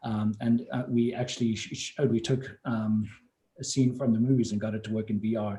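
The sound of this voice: A man's fairly low voice with a dark, mellow tone and fairly even intonation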